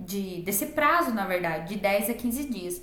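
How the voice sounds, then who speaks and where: Noticeable background noise and audible room echo around a woman whose pitch swings very widely. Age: 20s. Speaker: online entrepreneur, digital invitation designer. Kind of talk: personal vlog tutorial.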